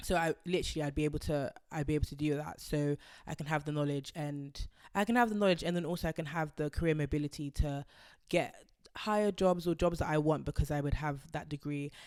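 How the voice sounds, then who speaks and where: On a very clean recording with a silent background, a woman with a very deep, low pitch speaks very fast with fairly even intonation. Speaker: YouTuber. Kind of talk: casual vlog talk.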